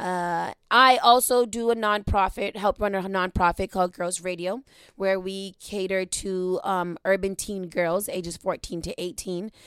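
On a very clean recording with a silent background, a woman with a normal speaking voice talks at medium pitch and a fairly slow pace, with fairly even intonation and hardly any pauses. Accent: American. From Boston, Dorchester (Upham's Corner). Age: 30s. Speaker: podcast host and radio worker. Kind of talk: casual chat. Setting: studio.

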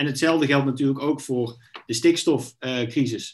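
A man speaks at medium pitch and a moderate pace with fairly even intonation. He has a normal speaking voice. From Netherlands, North Brabant. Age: 30s. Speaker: politician. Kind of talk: interview.

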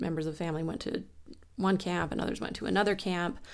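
A woman speaks with a fairly low pitch and vocal fry. Her pitch varies in an ordinary way. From Wyoming. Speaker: anthropologist and college educator. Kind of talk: interview.

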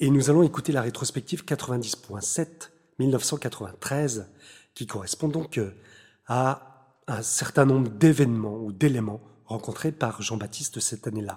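In a somewhat breathy voice with a dark, mellow tone, a man speaks very slowly at a medium pitch. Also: ordinary pitch variation. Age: 40s. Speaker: composer and radio host. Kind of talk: radio show presentation mixed with self-interview. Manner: hesitant, many fillers.

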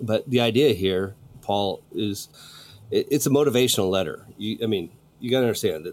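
A natural reading voice is heard here.

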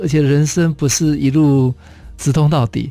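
A man with a Taiwanese accent has a fairly high pitch and a dark, mellow tone. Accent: Taiwanese Mandarin. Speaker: radio host and design institute head. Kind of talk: radio interview.

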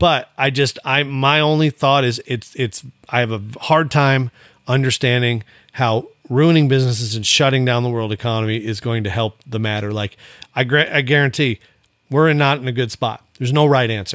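A man with an American accent has an ordinary speaking voice at a medium pitch and fairly even intonation, and the sound is dry and close with no echo. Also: moderate pace. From Montana. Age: 40s. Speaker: retired rodeo athlete. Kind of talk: casual chat.

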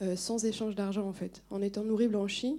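At a moderate pace, a woman speaks in a dark, mellow tone with fairly even intonation. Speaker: audience member. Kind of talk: audience question and comment. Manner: halting, struggling to speak.

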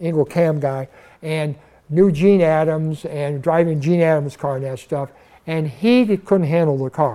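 Recorded very cleanly over a silent background, a man with an American accent talks at a moderate pace in a fairly high pitch, his dark, mellow tone showing ordinary pitch variation. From Burbank, California. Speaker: retired drag racer. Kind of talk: interview storytelling. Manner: enthusiastic.

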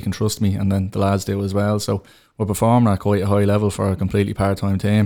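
A man with a Dublin accent talks at a very fast pace, his fairly low voice dark and mellow in tone. The recording is very clean, with a silent background. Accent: Dublin Irish. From Tallaght, Dublin, Ireland. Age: 30s. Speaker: goalkeeper and teacher. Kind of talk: interview.

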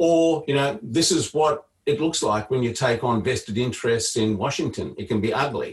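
A man with an Australian accent, medium pitch, a somewhat breathy voice and a moderate pace. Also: ordinary pitch variation, hardly any pauses. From Queensland, Australia. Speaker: political strategist. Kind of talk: panel talk.

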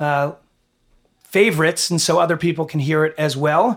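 A high-pitched male voice with fairly even intonation. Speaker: podcast host and school head. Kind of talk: casual interview.

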